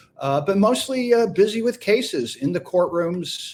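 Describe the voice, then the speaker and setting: This man talks at a fairly slow pace in a normal speaking voice with lively intonation. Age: 60s. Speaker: defense attorney and former radio host. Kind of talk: interview.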